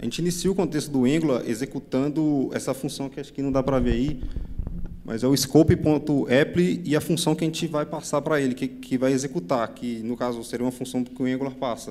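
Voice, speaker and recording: Ordinary pitch variation runs through a man's medium-pitched voice as he talks at a fairly quick pace. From Brazil, Minas Gerais. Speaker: software developer, conference speaker. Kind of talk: technical conference talk. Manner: fast; halting, many fillers and repetitions.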